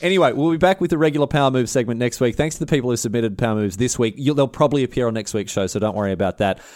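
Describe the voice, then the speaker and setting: Using an Australian accent, a man at a medium pitch races along at a very fast pace with lively intonation and hardly any pauses. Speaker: podcast co-host. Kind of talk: casual chat.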